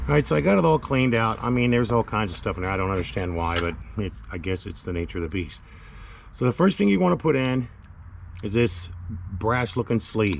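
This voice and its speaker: With lively intonation and a fairly quick pace, a man talks in a plain, everyday voice at a fairly low pitch. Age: 50s. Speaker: DIY mechanic video maker. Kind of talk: tutorial. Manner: casual.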